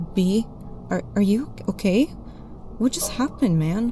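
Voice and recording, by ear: A shaky, put-on character voice that sounds female, at medium pitch for a woman, moves at a moderate pace with music in the background.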